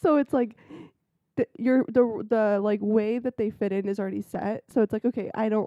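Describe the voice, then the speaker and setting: A woman's fairly high voice at a moderate pace, with fairly even intonation. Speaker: podcast co-host. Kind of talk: casual chat. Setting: home. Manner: soft-spoken. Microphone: recorded quieter, volume turned up in editing.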